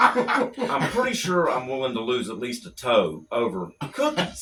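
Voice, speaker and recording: Fairly slow speech with noticeable background noise. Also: man. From Louisiana (West Monroe). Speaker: stand-up comedian. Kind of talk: stand-up bit on radio. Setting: radio studio.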